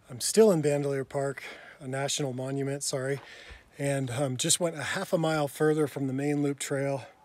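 A man talks with fairly even intonation, and the sound is dry with no echo. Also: fairly quick pace. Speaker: travel vlogger. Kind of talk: casual vlog chat. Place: open country. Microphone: phone near.

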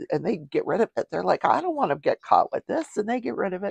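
Recorded with a dry sound and no echo, a woman speaks over a quiet background. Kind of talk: casual talk show commentary. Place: home room. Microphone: lapel.

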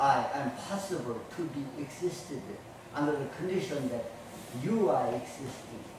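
Strong room echo surrounds a man speaking at a fairly slow pace. Light background noise is present. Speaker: martial arts instructor. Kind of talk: lecture. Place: gym.

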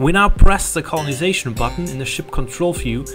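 Music plays in the background as a man speaks with a non-native accent. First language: not English. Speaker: game developer. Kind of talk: game tutorial narration. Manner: fast.

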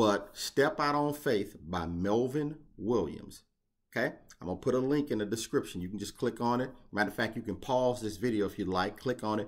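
With lively intonation and a moderate pace, a man talks against a quiet background. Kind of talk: motivational vlog talk. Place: home room. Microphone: webcam.

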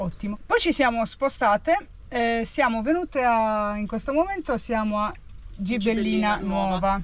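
Speaking at a moderate pace with ordinary pitch variation, a woman is heard in a dry sound with no echo. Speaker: van traveller vlogger. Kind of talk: casual vlog chat. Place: car. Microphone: phone near.

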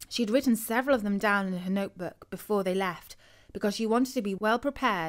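The pitch rises and falls in an ordinary way. This is reading aloud in a natural voice.

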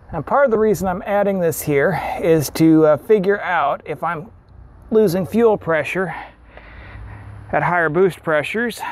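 Speaking fairly slowly in a high voice with ordinary pitch variation, a man is heard in dry, echo-free sound against light background noise. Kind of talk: tutorial. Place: garage.

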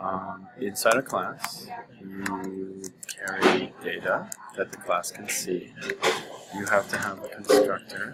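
A soft-spoken man talks at a very slow pace. Noticeable background noise runs underneath. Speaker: programming teacher. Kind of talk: tutorial. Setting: coffee shop.

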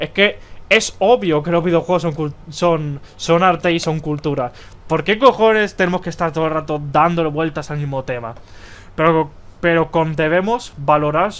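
An animated tone carries this voice at a moderate pace. Its pitch varies in an ordinary way. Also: man, fairly high pitch for a man. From Spain. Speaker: gaming youtuber. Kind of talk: opinion commentary video. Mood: exasperated, ranting.

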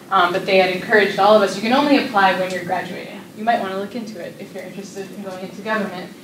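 A woman with an American accent talks very fast at a medium pitch, with fairly even intonation and hardly any pauses, amid light background noise and audible room echo. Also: big swings in loudness. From US Northeast. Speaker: nonprofit executive; speaker. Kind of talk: presentation. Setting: stage with audience. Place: classroom. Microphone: camera far.

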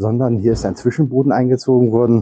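Against a quiet background, a man with a dark, mellow tone speaks at a moderate pace in a dry sound with no echo. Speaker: travel vlogger. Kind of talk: walking tour commentary. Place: hall. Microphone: lapel.

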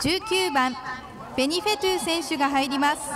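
The woman here speaks at a moderate pace with ordinary pitch variation. Noticeable background noise can be heard. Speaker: stadium announcer. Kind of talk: public address announcement. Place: stadium.

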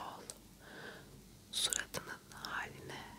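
Whispered speech from a woman. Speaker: ASMR creator. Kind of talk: ASMR roleplay, whispered and soft-spoken with mouth sounds. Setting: studio, close microphone. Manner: whispered, soft-spoken, hushed. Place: home room. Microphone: lapel.

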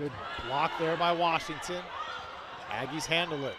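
A man's voice with noticeable background noise. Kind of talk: live commentary.

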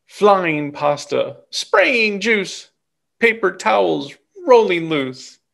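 With vocal fry and a fairly bright tone, the voice moves at a very slow pace through big pitch swings. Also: man, high pitch for a man.

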